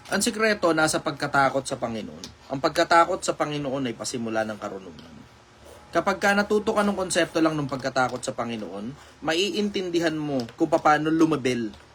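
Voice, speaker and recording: A man talks at a fairly quick pace with an animated tone and very wide pitch swings. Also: fairly high pitch for a man. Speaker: online live streamer giving life advice. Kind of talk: live stream Q&A talk. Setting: live stream. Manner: casual, animated.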